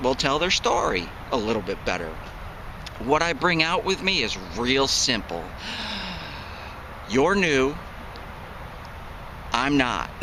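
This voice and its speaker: With an American accent and a fairly high pitch, a man speaks at a fairly slow pace with very wide pitch swings and long, frequent pauses, amid audible room echo and noticeable background noise. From upstate New York, Syracuse. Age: 40s. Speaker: metal detecting hobbyist, military retiree. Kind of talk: casual vlog talk to camera. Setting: outdoors in the woods.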